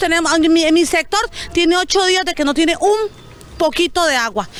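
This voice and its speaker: Over noticeable background noise, a woman talks at an extremely high pitch with ordinary pitch variation. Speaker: resident interviewed in news report. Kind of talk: news interview testimony.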